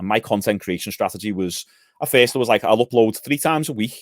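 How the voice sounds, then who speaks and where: Here a man talks at a very fast pace, his pitch fairly low. The sound is dry and close with no echo, on a very clean recording with a silent background. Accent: Liverpool. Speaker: gym owner and physique coach. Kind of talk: podcast interview.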